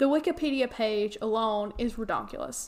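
A woman talks with a Southern US accent at a fairly high pitch. Her pitch varies in an ordinary way. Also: very clean recording, silent background. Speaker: podcast host. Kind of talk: casual chat. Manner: mumbled, doesn't enunciate.

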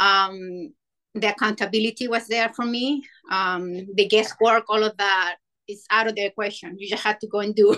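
Speaking at a moderate pace with a Spanish accent, a woman has a bright, sharp tone, a fairly high pitch and fairly even intonation, in a dry, close sound with no echo. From Chile. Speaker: amateur ultrarunner. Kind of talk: podcast interview.

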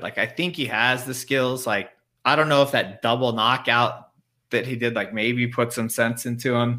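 A man at medium pitch and moderate pace, bright and sharp in tone, on a very clean recording with a silent background. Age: 30s. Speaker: MMA betting panelist. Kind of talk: casual chat.

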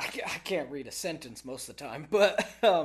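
Talking at a fairly quick pace with an American accent, the voice swings very widely in pitch. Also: man. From Texas. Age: 20s. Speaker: oilfield worker. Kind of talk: casual chat.

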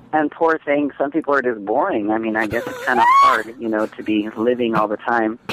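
A man at a medium pitch and fairly quick pace, hardly any pauses, ordinary pitch variation, and noticeable background noise. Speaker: drag performer calling in. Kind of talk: casual chat. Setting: phone call.

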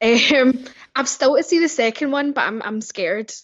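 This woman has a Scottish accent and talks at a moderate pace. Her pitch varies in an ordinary way. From Scotland, Glasgow. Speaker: podcast guest, movie fan. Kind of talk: casual chat.

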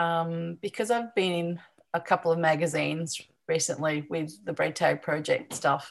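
A woman with an Australian accent, fairly low-pitched and fairly slow, against a quiet background. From Newcastle, New South Wales, Australia. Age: 50s. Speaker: artist and teacher. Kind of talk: casual interview chat.

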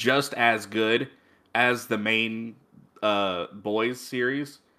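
The tone is bright and sharp as a man speaks. Nothing sounds in the very clean recording's silent background. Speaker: podcast co-host. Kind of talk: casual banter, comedic chat. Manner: casual, filler-heavy, joking.

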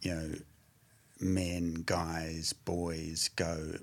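A man's very deep, low voice in a New Zealand accent. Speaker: addiction recovery practitioner. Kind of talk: casual chat. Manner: halting.

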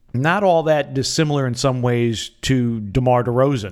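A man speaks in a plain, everyday voice with an American accent, at medium pitch with ordinary pitch variation. The recording is very clean, with a silent background. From US Midwest, northeastern Wisconsin. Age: 50s. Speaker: sports play-by-play commentator and podcast host. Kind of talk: solo podcast monologue, sports analysis.

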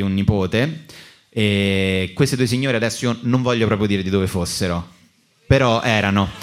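Here is a plain, everyday voice from a man with a fairly low pitch. He moves at a fairly quick pace with ordinary pitch variation. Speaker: comedian and podcast host. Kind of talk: live comedic podcast banter. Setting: stage with live audience.

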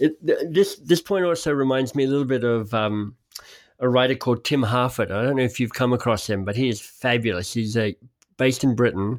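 On a very clean recording with a silent background, a man in an unremarkable speaking voice talks fairly quickly at medium pitch with ordinary pitch variation. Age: 50s. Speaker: podcast host. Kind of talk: casual interview chat.

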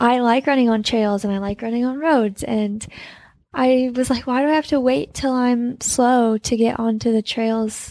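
Soft-spoken and with an American accent, a woman talks at a moderate pace in a fairly high voice with fairly even intonation. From Utah, US. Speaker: elite trail runner. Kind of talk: casual interview. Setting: in person, Austin.

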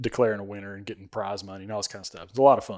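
With an Alabama accent, a man speaks at a fairly low pitch and ordinary pitch variation, recorded very cleanly against a silent background. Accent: Southern US (Alabama). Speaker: podcast host. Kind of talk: casual chat.

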